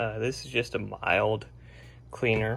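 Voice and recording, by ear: At a slow pace, a man speaks at medium pitch with a fairly bright tone and vocal fry.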